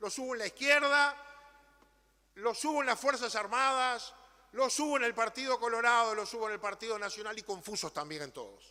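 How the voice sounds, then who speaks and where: A man speaks fairly quickly in a raised, projected voice, with extremely high pitch and ordinary pitch variation. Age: 60s. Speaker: politician. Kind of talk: parliamentary speech. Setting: legislative chamber. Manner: formal.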